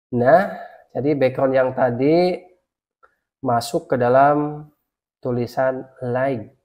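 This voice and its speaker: Long, frequent pauses break up talking that moves at a very slow pace. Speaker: Photoshop tutorial YouTuber. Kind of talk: software tutorial. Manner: casual, repetitive instructions.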